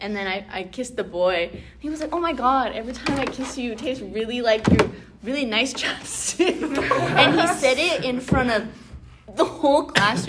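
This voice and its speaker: A loud, animated woman's voice, high in pitch with lively intonation, at a moderate pace over noticeable background noise. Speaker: round table discussion host. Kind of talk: casual chat.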